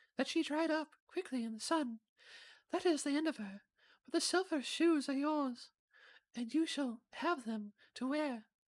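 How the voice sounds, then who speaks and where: At a moderate pace, a high-pitched, put-on character voice comes through on a very clean recording with a silent background. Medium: game stream. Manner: gentle, kindly.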